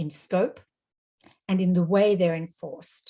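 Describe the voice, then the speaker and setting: A woman speaks in an Australian accent at a fairly slow pace. Her tone is dark and mellow, and somewhat breathy. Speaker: international law expert, panelist. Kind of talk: webinar presentation. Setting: online webinar.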